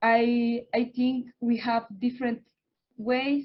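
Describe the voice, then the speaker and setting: Very slowly, a woman with a Spanish accent speaks at a fairly high pitch. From Oaxaca, Mexico. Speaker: environmental activist and researcher. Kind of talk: panel remarks. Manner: halting.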